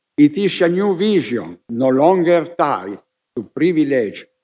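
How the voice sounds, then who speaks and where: A man with an Italian accent, fairly high in pitch, dark and mellow in tone, with lively intonation. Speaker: scholar of heraldry and genealogy. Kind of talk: conference speech. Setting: summit hall with audience. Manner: formal.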